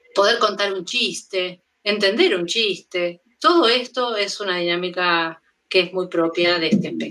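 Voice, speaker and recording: A woman with a bright, sharp tone talks at a medium pitch and a fairly slow pace, using ordinary pitch variation. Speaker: pediatric mental health lecturer. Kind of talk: lecture. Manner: halting.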